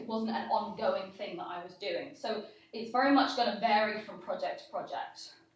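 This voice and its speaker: Audible room echo hangs around the speech. The delivery keeps a moderate pace, its pitch shifting in an ordinary way. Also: woman. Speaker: conference speaker. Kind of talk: Q&A panel discussion. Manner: loud.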